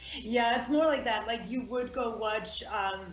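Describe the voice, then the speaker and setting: A woman's voice, moving at a moderate pace with ordinary pitch variation, comes through audible room echo and noticeable background noise. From South Africa. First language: Afrikaans. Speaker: actress. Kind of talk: interview.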